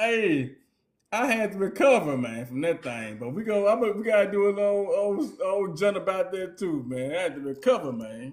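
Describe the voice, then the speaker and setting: A man with a Southern US accent speaks in a relaxed tone at a moderate pace, his high pitch moving in very wide swings. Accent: country Southern, by his own remark. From US South, Mississippi Delta. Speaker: podcast co-host. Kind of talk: casual chat. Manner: relaxed, informal; animated.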